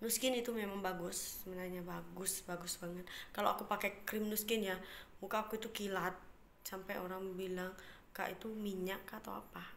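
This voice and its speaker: Speaking at a fairly quick pace in a flat monotone, a woman talks over light background noise. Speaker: vlogger. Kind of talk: casual vlog chat. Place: home room. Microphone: phone near.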